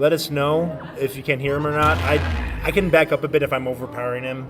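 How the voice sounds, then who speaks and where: Music plays behind a man with a fairly high pitch. He speaks at a fairly quick pace with ordinary pitch variation. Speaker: tournament commentator. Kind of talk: live commentary. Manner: loud.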